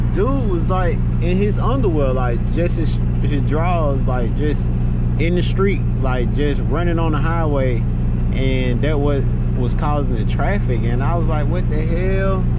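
A man at a fairly slow pace, in a dry sound with no echo, under loud background noise. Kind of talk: casual vlog chat, storytelling. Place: car.

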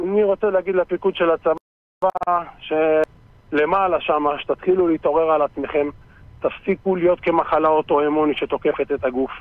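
A high-pitched male voice at a moderate pace, with fairly even intonation, very even loudness, and a dry sound with no echo. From Israel, West Bank settlement; Israel. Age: 40s. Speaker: reserve soldier; interview guest. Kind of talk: interview. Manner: emphatic. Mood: indignant, defiant. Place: studio.

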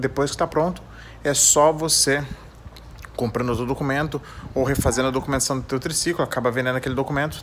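A man with a Brazilian accent, fairly high in pitch, at a very fast pace, over light background noise. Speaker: trike channel host. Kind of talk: tutorial. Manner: casual, informal. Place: garage. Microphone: phone near.

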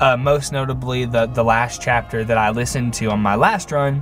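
Man with a Southern US accent, medium pitch, fairly even intonation and a moderate pace, with clear music in the background. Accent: Southern American. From Middle Tennessee, USA. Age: 20s. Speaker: vlogger. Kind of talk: casual talk to camera. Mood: friendly, a bit nervous. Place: car. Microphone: phone near.

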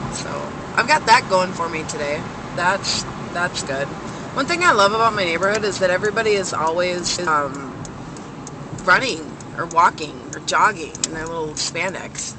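An animated delivery at a moderate pace, with long, frequent pauses and noticeable background noise. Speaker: vlogger. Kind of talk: casual vlog chat. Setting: in a car. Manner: rambling, animated.

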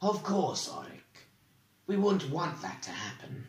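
The speaker uses a put-on character voice at a fairly slow pace. There is a slight echo. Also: man, high pitch for a man. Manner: smooth, polite, concealing anger.

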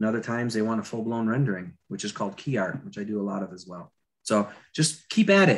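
Speaking very fast with an American accent, a man shows ordinary pitch variation. His loudness swings widely. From Florida. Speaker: concept artist and attraction designer. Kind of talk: live drawing tutorial. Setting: video call. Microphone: video call.

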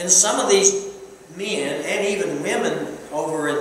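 This man's voice sits high in pitch, with strong room echo and light background noise. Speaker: preacher. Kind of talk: sermon. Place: church.

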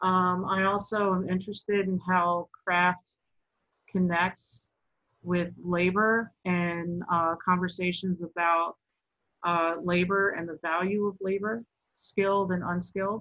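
A woman with an American accent speaks in a flat monotone at a very slow pace. Her tone is bright and sharp, and the background is quiet. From Baltimore, Maryland. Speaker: sculptor and installation artist. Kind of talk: artist talk presentation. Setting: video call. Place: home room. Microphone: webcam.

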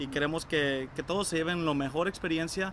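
The speech moves at a fairly quick pace. The sound is dry with no echo, though there is noticeable background noise. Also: man. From El Salvador. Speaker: restaurant co-owner. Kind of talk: interview answers. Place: garden.

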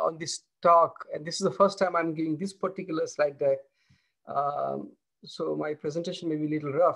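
The setting behind the voice is quiet. The speaker is a man. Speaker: professor giving keynote. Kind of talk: lecture. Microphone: video call.

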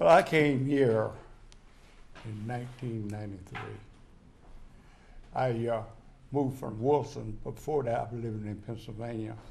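A man's somewhat breathy voice at a medium pitch, moderate pace and fairly even intonation, with long, frequent pauses, big swings in loudness and audible room echo. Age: 80s+. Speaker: war veteran. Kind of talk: casual chat. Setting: city council meeting. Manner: halting.

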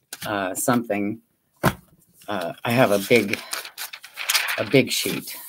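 Fairly slow speech from a woman, with noticeable noise in the background. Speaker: crafter hosting livestream. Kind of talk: casual craft livestream chat. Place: home room.

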